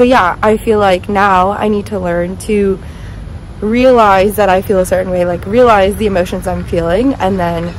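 A woman at a fairly slow pace, in a dry sound with no echo, over light background noise. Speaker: vlogger. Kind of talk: casual vlog chat. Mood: reflective, talking about therapy. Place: street. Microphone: phone near.

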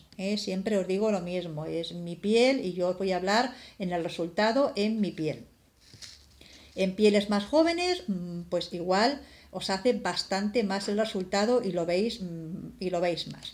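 A woman at a fairly slow pace, with ordinary pitch variation and long, frequent pauses. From Spain. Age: 50s. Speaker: beauty vlogger; product reviewer. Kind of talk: product review vlog. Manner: halting. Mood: warm, calm. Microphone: phone near.

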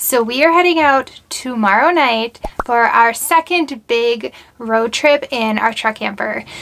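Over light background noise, a woman speaks in a high voice with ordinary pitch variation. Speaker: travel vlogger. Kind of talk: casual vlog chat.

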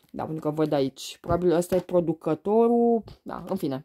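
A woman speaks with a dark, mellow tone and lively intonation. The background is quiet. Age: 30s. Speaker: beauty and perfume vlogger; beauty vlogger. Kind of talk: casual unboxing vlog. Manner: hesitant, many fillers. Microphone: phone near.

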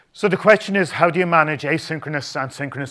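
Bright and sharp in tone, a man's voice moves with ordinary pitch variation. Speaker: conference presenter. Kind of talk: conference talk. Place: hall.

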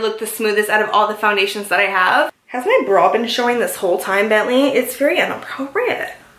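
A woman talks at a very fast pace with ordinary pitch variation amid audible room echo. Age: 20s. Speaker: lifestyle vlogger. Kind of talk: casual vlog talk to camera. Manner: fast, chatty. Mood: cheerful, playful. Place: home room. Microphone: phone near.

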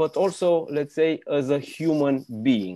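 A man's fairly high voice with a dark, mellow tone and a Romanian accent, ordinary pitch variation and a fairly slow pace over a quiet background. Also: dry sound with no echo. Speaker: business magazine interviewer. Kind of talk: interview. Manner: halting. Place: home room. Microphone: earbuds.

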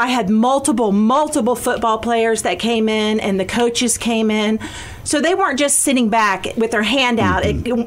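Moderate speed and ordinary shifts in pitch. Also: woman. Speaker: guest. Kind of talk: interview answer. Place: studio.

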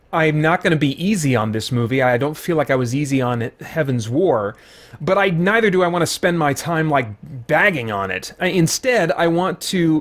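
Lively in intonation, a man speaks at a moderate pace. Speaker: movie reviewer. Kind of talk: review commentary. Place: home room. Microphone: studio mic.

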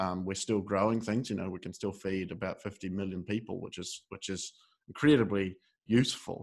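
Against a quiet background, a man with a fairly low pitch and a New Zealand accent speaks at a moderate pace with fairly even intonation. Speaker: podcast host. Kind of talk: interview.

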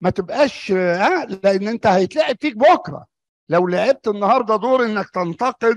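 A man at a fairly slow pace, very wide pitch swings, dry sound with no echo, and a quiet background. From Egypt. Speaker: doctor; conference presenter. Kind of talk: lecture. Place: hall. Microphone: podium.

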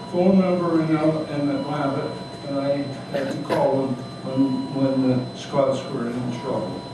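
Strong room echo and noticeable background noise fill this recording. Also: man. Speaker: retired doctor. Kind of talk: memoir reading to live audience. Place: cafe. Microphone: camera far.

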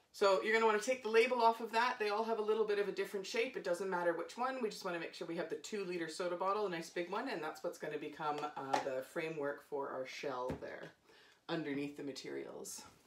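Talking very fast, a woman can be heard against noticeable background noise. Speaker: theatre educator. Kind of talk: tutorial. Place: home room. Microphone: phone near.

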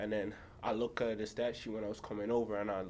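A man speaks at a moderate pace in a fairly low pitch, with little pitch movement. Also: slightly mellow tone.

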